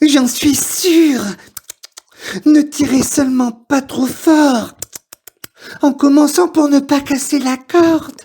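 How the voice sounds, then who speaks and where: A put-on character voice with a high pitch moves at a very slow pace, broken by long, frequent pauses. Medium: read story. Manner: polite, persuasive.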